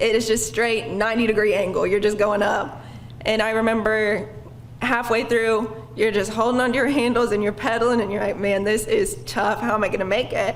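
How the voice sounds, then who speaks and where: Speaking fairly quickly with an American accent, a woman with a fairly high pitch keeps her intonation fairly even and her loudness very even, with noticeable background noise and audible room echo. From Oklahoma, Stilwell. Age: 20s. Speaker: bike ride participant. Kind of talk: personal testimony at a public lecture.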